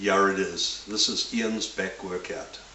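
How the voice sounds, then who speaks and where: The man speaks at a fairly slow pace, with audible room echo and noticeable background noise around him. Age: 60s. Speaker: bodybuilder. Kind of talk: tutorial. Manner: blunt and informal.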